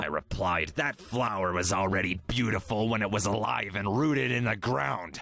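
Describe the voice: A man puts on a cartoonish character voice with a raspy sound. The pitch sits fairly low. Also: moderate pace.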